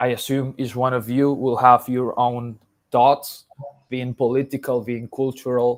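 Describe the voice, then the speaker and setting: A man speaks with a Spanish accent at a fairly slow pace. His pitch is medium and his intonation monotone and flat. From Colombia. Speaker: sound artist and lecturer. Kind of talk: lecture. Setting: video call. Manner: halting, many fillers.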